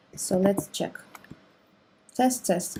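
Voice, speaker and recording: Speaking with a non-native accent, a woman keeps to a moderate pace. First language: not English. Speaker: programming tutorial creator. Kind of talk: tutorial. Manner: hesitant, many fillers.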